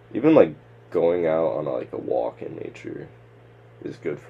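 Talking at a fairly quick pace over noticeable background noise, a man speaks with an American accent. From upstate New York. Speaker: podcast co-host, peer crisis counselor. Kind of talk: casual chat.

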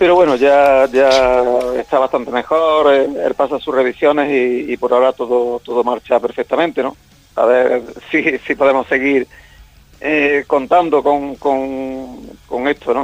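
Over music in the background, a man speaks in a fairly high pitch with fairly even intonation. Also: fairly slow pace, dry, close sound with no echo. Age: 60s. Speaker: rock singer. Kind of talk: interview.

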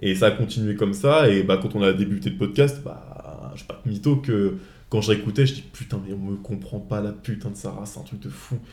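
Loudness swings widely in this voice, which has lively intonation and a moderate pace. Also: man, fairly low pitch for a man. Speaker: podcast host. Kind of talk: casual chat. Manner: halting.

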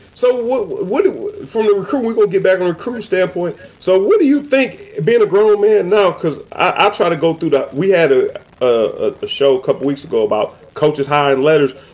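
A man with an American accent talks at a fairly quick pace with hardly any pauses. Noticeable background noise can be heard. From Cleveland, Ohio. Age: 40s. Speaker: podcast host, former football player. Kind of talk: casual chat.

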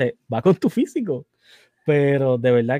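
The sound is dry and close, without any echo. A man talks at medium pitch. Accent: Puerto Rican. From Puerto Rico. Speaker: podcast host. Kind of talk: casual interview chat. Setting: live stream.

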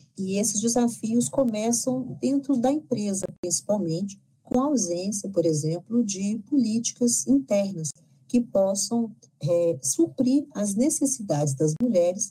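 Fairly slow, somewhat breathy speech from a woman with a dark, mellow tone and very wide pitch swings. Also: medium pitch for a woman. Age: 50s. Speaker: lecturer and leadership consultant. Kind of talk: interview.

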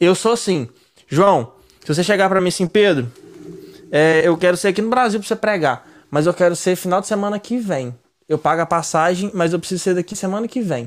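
A man talks with a high pitch. He moves at a fairly quick pace. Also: ordinary pitch variation. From Minas Gerais, Brazil. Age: 30s. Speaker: podcast host. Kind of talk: casual chat.

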